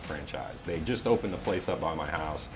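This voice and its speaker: Over music in the background, a man speaks in an upbeat tone. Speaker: voiceover artist. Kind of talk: interview answer. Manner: easygoing, upbeat.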